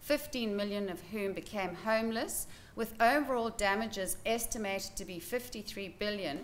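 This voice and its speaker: A woman at a fairly slow pace with ordinary pitch variation, against light background noise. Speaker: presenter. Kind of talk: lecture. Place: hall. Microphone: podium.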